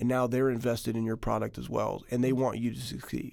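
A man with an American accent at a very fast pace, medium pitch, dark, mellow tone and monotone, flat intonation. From Texas. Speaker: company founder and former football player. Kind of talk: interview.

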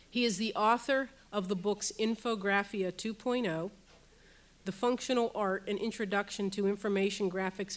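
A woman speaks in an ordinary speaking voice at medium pitch with fairly even intonation. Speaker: university professor and center director. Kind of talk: welcome and speaker introduction. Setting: stage with audience.

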